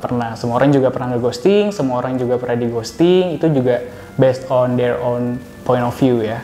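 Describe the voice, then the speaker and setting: A man speaks fairly quickly, his voice carrying audible room echo with music behind it. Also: medium pitch for a man, ordinary pitch variation. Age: 20s. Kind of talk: street interview.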